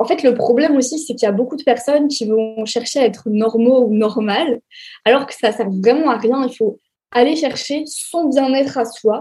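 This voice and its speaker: This woman's voice sits high in pitch, with a dark, mellow tone, ordinary pitch variation and a moderate pace. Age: 20s. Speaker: sex educator and influencer. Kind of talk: interview. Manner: hesitant with fillers.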